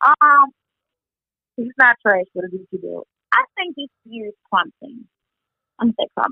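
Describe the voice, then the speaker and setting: With a Southern US accent, a woman speaks at a moderate pace in a fairly high pitch, her intonation lively, her loudness swinging widely, and her pauses long and frequent. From Mississippi. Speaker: radio co-host and entertainment reporter. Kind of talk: casual interview.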